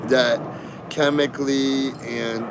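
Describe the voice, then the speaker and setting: Against noticeable background noise, a man speaks in a medium pitch with monotone, flat intonation. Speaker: livestreamer. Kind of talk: casual chat.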